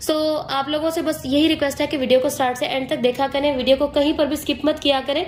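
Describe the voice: A woman talks at a fast pace and a high pitch. Her intonation stays fairly even.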